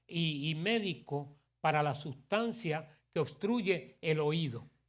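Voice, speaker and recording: Speaking with an English accent, a man uses a high pitch, lively intonation and an animated tone, captured in a very clean recording with a silent background. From New York City, Puerto Rican family. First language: English (speaking Spanish). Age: 60s. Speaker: pastor. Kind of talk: sermon. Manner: animated, conversational.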